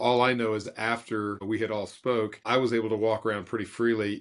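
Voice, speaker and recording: Talking at a fairly quick pace, a man with a Texan accent uses a fairly low pitch and monotone, flat intonation. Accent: Texan American. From West Texas. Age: 60s. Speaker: business consultant and speaker. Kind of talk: podcast interview.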